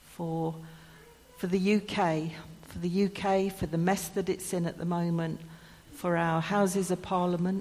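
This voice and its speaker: This woman's voice is fairly low, with an English accent. She speaks fairly slowly in a monotone, flat way. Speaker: church service leader. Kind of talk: church service, notices and prayer. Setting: church.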